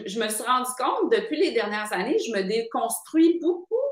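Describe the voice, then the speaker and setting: A woman with a high voice, very wide pitch swings and a moderate pace. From Quebec City, Quebec. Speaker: author and screenwriter. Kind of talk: casual interview. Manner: hesitant, frequent fillers and repetitions.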